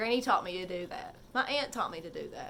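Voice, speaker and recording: A woman talks at a fairly quick pace in a bright, sharp tone. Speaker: vlogger sharing personal stories. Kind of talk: personal storytelling vlog. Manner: halting, stumbles on words; emotional, heartfelt.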